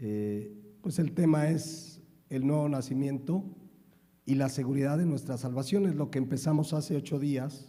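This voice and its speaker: A man speaks at a fairly high pitch, and his voice is somewhat breathy. Room echo is audible. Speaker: pastor. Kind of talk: sermon.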